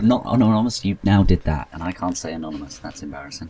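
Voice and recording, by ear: A man speaks fast in a low voice with a slightly husky edge. His tone is dark and mellow, and his intonation is lively.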